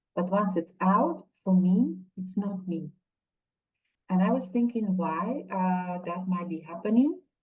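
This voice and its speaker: Her speech moves fairly slowly. There is a somewhat breathy quality to the woman's voice. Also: medium pitch for a woman, ordinary pitch variation. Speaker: academic and book editor. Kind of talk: webinar panel discussion. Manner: hesitant, many fillers.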